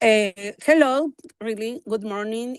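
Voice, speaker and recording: A woman with a Spanish accent, fairly high pitch and ordinary pitch variation, dry and close with no echo, over a quiet background. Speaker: professor and researcher. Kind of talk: conference presentation. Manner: halting.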